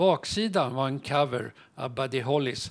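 A man talks at a very slow pace with vocal fry. His pitch is medium. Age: 70s. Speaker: retired TV technician and musician. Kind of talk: casual interview.

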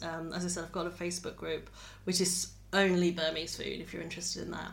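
A woman's fairly low-pitched voice with vocal fry. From England. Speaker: cookbook author and cook. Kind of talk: casual chat. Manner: hesitant, many fillers.

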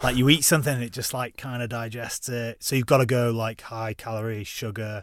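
A man with a Lancashire accent speaks at a fairly quick pace with fairly even intonation and big swings in loudness. The recording is very clean, with a silent background. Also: medium pitch for a man. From northern England, Preston. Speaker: ex-soldier and mountaineer. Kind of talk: casual chat.

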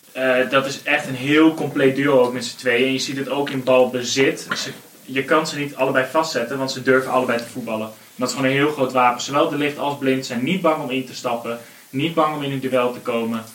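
A man talks at a fairly quick pace in a medium pitch, his intonation fairly even, with noticeable background noise behind him. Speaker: football podcast panelist. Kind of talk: casual football discussion.

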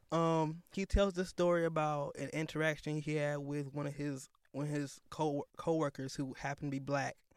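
With an American accent, a man of fairly high pitch talks at a moderate pace in a monotone, flat intonation with hardly any pauses. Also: very clean recording, silent background. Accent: Northern US, shifts to Southern around family. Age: 20s. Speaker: podcast co-host. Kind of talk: casual conversation podcast.

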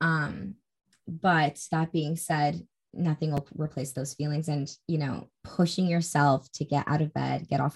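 A woman's very deep, low voice, somewhat breathy, at a moderate pace with fairly even intonation. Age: 20s. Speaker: podcast host. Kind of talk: casual interview chat.

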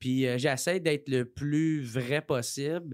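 A man with a Quebec accent speaks at a very slow pace with ordinary pitch variation on a very clean recording with a silent background. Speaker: comedian. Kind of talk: casual chat. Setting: studio.

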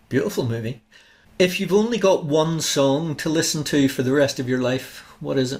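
His voice is somewhat breathy and fairly high, with pitch that shifts in an ordinary way. The man keeps a moderate pace. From Northern Ireland, Larne. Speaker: podcast host, author. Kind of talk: interview.

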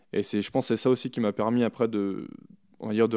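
A man's fairly low, dark, mellow voice, monotone and flat, at a very fast pace, dry and close with no echo. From France, Chamonix (Haute-Savoie). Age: 30s. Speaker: alpine ski racer. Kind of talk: interview. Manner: hesitant, many fillers.

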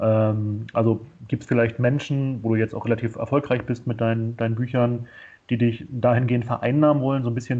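Talking at a very fast pace, a man delivers his words in a flat monotone at a medium pitch. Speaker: podcast host. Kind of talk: casual interview chat. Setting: video call.

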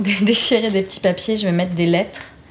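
Over noticeable background noise, a woman talks at a fairly quick pace with a medium pitch and fairly even intonation. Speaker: singer-songwriter and podcast host. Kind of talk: casual chat and songwriting session. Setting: home studio in Montreal.

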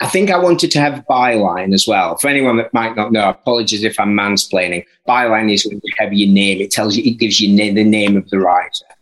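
A man speaks at a fairly quick pace in a Yorkshire accent. His pitch sits in the medium range. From northern England, Barnsley. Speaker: author and music journalist. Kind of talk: interview. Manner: halting.

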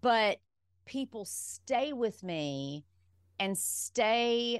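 A woman talks with lively intonation over a quiet background. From Alabama, US South. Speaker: pharmacist and wellness speaker. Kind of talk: casual interview chat.

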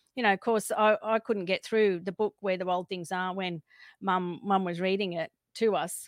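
Against a silent background on a very clean recording, the sound is dry and close with no echo. A woman with an Australian accent talks at a fairly slow pace in a medium pitch with fairly even intonation. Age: 50s. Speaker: alien contact experiencer. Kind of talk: interview testimony. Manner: halting.

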